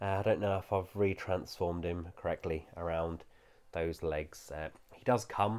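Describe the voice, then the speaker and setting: A man with a British accent speaks at a fairly slow pace in a very deep, low pitch with ordinary pitch variation. The recording is very clean, with a silent background. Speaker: toy reviewer. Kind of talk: product review. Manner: casual with frequent fillers.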